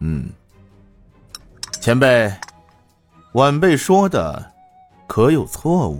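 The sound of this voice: Faint music plays behind a man's put-on character voice. He talks at a very slow pace with very wide pitch swings. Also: medium pitch for a man.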